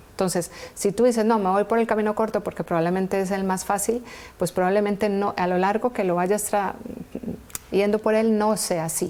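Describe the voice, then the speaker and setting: Amid noticeable background noise, a woman at medium pitch speaks fairly quickly in a flat monotone. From Colombia, Valle del Cauca and Pereira. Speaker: entrepreneur and engineer, interview guest. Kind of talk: TV interview.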